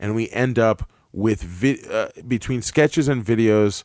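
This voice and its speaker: A man speaks slowly-ish, at a fairly slow pace, in a plain, everyday voice with ordinary pitch variation. The sound is dry and close, with no echo. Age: 30s. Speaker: actor and sketch comedy director. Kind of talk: casual chat. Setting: studio.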